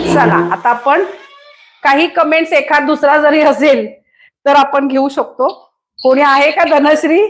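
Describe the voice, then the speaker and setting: A woman speaks in a high voice with a Goan accent. Her tone is energetic and her loudness stays very even. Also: ordinary pitch variation. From Kolhapur, Maharashtra, India. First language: Konkani (speaking Marathi). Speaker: cooking show host. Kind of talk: live stream chat with viewers.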